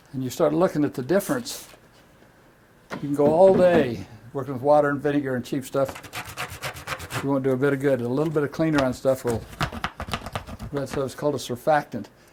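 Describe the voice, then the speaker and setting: With an American accent, the speaker talks at a fairly quick pace with ordinary pitch variation and long, frequent pauses over noticeable background noise. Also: man, fairly high pitch for a man. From US West, rural Idaho. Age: 80s+. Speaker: professional cleaner and speaker. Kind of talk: talk to an audience. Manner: animated.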